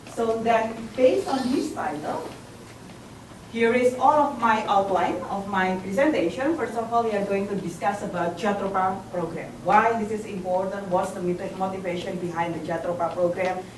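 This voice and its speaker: A woman with an Indonesian accent speaks at a moderate pace, with ordinary pitch variation. Audible room echo and noticeable background noise surround her. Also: medium pitch for a woman. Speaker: academic presenter. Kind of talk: conference presentation. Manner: halting.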